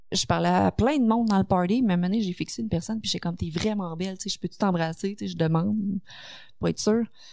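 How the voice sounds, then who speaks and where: The voice has ordinary pitch variation and a fairly quick pace, set against a quiet background. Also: woman. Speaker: streamer and online content creator. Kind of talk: casual chat. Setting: studio.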